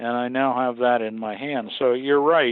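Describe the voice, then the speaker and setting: A normal speaking voice comes through with an American accent. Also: man. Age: 60s. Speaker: museum aircraft restorer and pilot. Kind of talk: interview.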